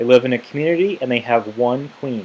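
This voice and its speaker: The man talks fairly quickly in a plain, everyday voice. His pitch is medium, with ordinary variation. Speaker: teacher. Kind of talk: tutorial.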